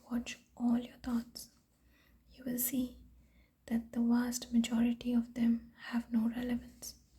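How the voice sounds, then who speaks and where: Words come at a fairly slow pace. The voice is soft-spoken. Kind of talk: sleep story reading.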